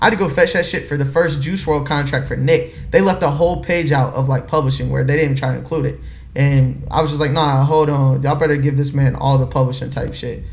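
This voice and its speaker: Speaking at a very fast pace with hardly any pauses, a man uses a fairly high pitch and fairly even intonation. The room echo is audible. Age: 20s. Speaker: music label executive. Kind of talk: casual interview chat.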